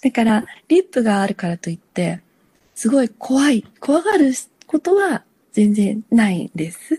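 Somewhat breathy, with a dark, mellow tone, a woman's voice swings very widely in pitch, its sound dry and close with no echo. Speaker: lifesaver. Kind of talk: interview.

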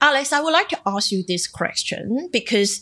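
In a Cantonese accent, a woman speaks at a moderate pace with a bright, sharp tone. The background is quiet. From Macau. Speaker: journalist and podcast co-host. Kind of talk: casual podcast chat. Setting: remote recording.

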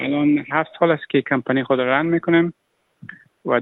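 Fairly quick and with fairly even intonation, a man speaks. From Afghanistan. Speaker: refugee entrepreneur. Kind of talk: interview. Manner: halting.

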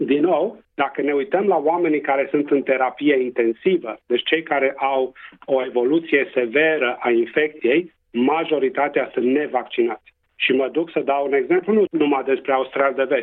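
A man speaks in a Transylvanian accent at a moderate pace. His loudness stays very even, and his pitch varies in an ordinary way. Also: fairly high pitch for a man. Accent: Transylvanian Romanian. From Transylvania, Romania. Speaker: public health doctor. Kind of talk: radio interview.

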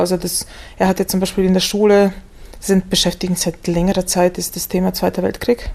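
Her medium-pitched voice stays monotone and flat as this woman talks. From Macedonia/Bulgaria (raised multilingual). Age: 40s. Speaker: literary scholar and German teacher. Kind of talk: interview. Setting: library.

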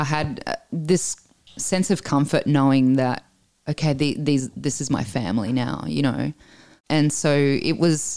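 A woman with an Australian accent speaks in an animated tone at a fairly slow pace, her pitch very deep and low, in a very clean recording with a silent background. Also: ordinary pitch variation. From Italy, raised in Australia from age nine. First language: Italian. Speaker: guest sharing immigrant story. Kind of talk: casual interview. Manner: animated, laughs often.

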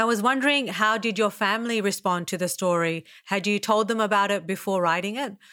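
In an Australian accent, a woman speaks at a fairly quick pace with hardly any pauses, a medium pitch, ordinary pitch variation and a bright, sharp tone, on a very clean recording with a silent background. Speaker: podcast host and writer. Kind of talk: interview.

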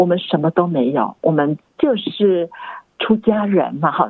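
A woman speaks with lively intonation. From Singapore. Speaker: Buddhist nun and university academic. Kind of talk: interview.

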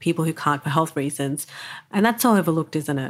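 A woman in an Australian accent, very deep and low in pitch, at a very fast pace. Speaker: podcast host. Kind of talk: interview; scripted narration.

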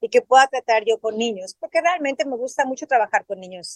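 A woman's high-pitched voice at a fairly quick pace, ordinary in pitch variation, with a dry, close sound and no echo. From Mexico City. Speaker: journalist and swim teacher. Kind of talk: interview.

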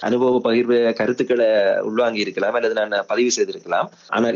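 Speaking at a medium pitch, this man talks with a Sri Lankan accent. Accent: Sri Lankan Tamil. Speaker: film director. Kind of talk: interview.

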